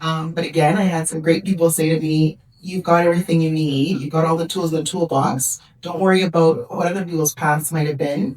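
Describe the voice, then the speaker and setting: With a Canadian accent, a woman talks in a monotone, flat way at a fairly low pitch, with noticeable background noise behind her. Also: fairly quick pace. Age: 50s. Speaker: senior government official. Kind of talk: conference panel Q&A answer. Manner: hesitant fillers.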